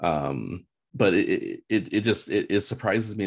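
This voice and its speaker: This is a man speaking. His voice has vocal fry. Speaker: real estate agent. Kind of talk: casual chat.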